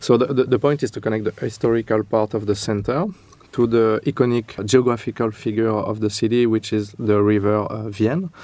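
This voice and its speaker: Speaking at a fairly quick pace with a French accent, a man uses a dark, mellow tone at medium pitch and fairly even intonation. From France. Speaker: architect. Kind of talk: interview. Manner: halting.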